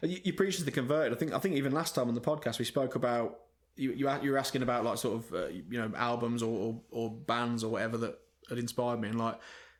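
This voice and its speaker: Talking very fast, a man uses a medium pitch with ordinary pitch variation. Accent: English. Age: 30s. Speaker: rock band frontman and singer. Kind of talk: casual chat.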